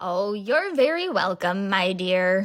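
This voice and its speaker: In a put-on character voice of medium pitch, a woman speaks at a fairly slow pace. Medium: read story.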